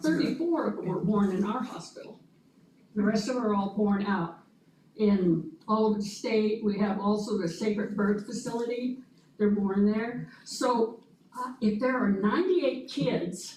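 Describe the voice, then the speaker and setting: A woman speaks at a fairly high pitch, at a moderate pace. Her pitch varies in an ordinary way, and audible room echo surrounds her. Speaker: early literacy program presenter. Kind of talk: presentation to school board.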